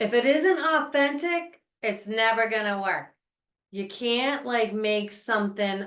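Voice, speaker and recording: Her voice is an ordinary speaking voice, a woman's at a fairly high pitch. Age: 60s. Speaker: podcast host. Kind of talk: casual chat.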